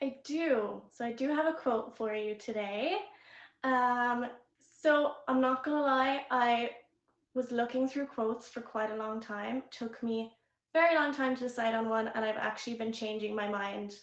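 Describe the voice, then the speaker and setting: At a moderate pace, a woman with a slight Irish accent speaks in a high pitch. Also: ordinary pitch variation. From Ireland. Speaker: live streaming platform VIP manager. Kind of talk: casual chat on live stream.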